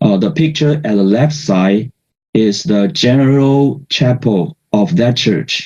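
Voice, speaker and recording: A man with a non-native accent speaks at a very slow pace in a medium-pitched, somewhat breathy voice with a dark, mellow tone and lively intonation. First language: not English. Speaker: researcher in religious studies, award-winning paper presenter. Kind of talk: conference presentation. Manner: halting, many fillers.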